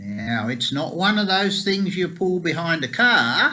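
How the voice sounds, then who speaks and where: A man with an Australian accent speaks at a very slow pace. His pitch is high, with very wide swings. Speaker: pro-life activist and lobbyist. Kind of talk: casual video report. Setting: New York, at the UN. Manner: conversational.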